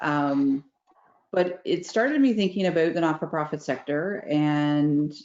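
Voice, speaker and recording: A woman's very deep, low voice in a Newfoundland accent, with ordinary pitch variation. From Newfoundland and Labrador, Canada. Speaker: facilitator and event host. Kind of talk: casual virtual networking chat. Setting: video call. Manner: fast.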